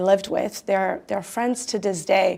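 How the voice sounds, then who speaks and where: A woman speaks with a Croatian accent. Her pitch is medium, with ordinary variation. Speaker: tech company founder and CEO. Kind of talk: interview.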